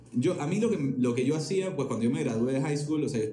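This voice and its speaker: Audible room echo colors the recording. A man talks over noticeable background noise. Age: 20s. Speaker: music entrepreneur. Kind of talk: casual chat.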